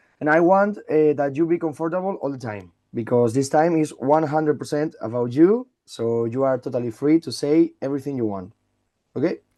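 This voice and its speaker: A man with a Spanish accent speaks in a dark, mellow tone at a fairly high pitch. His intonation is lively and his pace fairly quick, over a quiet background. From Spain. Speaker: radio interviewer. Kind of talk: interview. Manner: halting.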